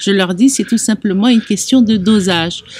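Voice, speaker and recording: Her medium-pitched voice is somewhat breathy, and the woman speaks at a moderate pace with ordinary pitch variation. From Algeria (Oran). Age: 60s. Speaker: chocolate artisan. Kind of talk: interview testimony.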